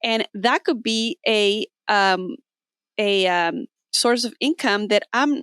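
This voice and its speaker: The speech comes at a very slow pace with lively intonation. The recording is very clean, with a silent background and a dry, close sound with no echo. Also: woman, fairly high pitch for a woman. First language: not English. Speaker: podcast host. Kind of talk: casual interview chat.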